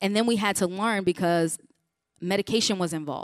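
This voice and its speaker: With an American accent, a normal speaking voice talks at a fairly quick pace with fairly even intonation on a very clean recording with a silent background. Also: woman. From Chicago region, US Midwest. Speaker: pastor and mental health speaker. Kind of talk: conference talk. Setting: conference breakout room with audience.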